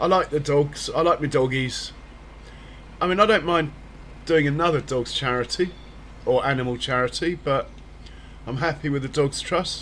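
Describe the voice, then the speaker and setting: The speaker has a British accent and a moderate pace broken by long, frequent pauses. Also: man. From Britain. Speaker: gaming streamer. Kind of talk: casual live-stream chat.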